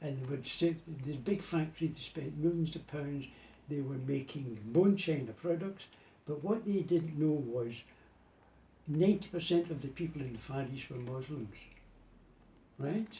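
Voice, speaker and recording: With a Glasgow accent, a man speaks at a moderate pace with long, frequent pauses, his fairly high voice somewhat breathy and dark, mellow in tone. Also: ordinary pitch variation. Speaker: button maker. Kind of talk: casual interview.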